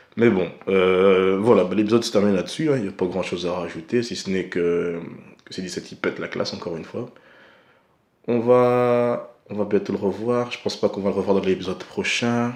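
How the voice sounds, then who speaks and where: This man talks at a fairly quick pace in a fairly low voice, with ordinary pitch variation. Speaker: anime reviewer. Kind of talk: casual vlog commentary. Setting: at home at night. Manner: soft-spoken; hesitant, many fillers.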